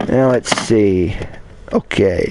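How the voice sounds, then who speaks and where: Noticeable background noise surrounds a man whose voice sits at a medium pitch. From Kentucky. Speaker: blind gamer YouTuber. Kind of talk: casual collection showcase livestream. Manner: halting, repetitive.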